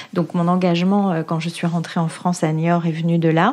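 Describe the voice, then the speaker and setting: A woman talks at a moderate pace in a fairly low pitch with fairly even intonation. Noticeable background noise is present. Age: 40s. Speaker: local politician. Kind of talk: interview testimony. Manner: hesitant, many fillers.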